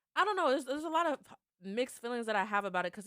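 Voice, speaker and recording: Lively intonation runs through a woman's very fast speech. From Kentucky, Louisville. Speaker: podcast host, youth mentoring program coordinator. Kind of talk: casual interview conversation.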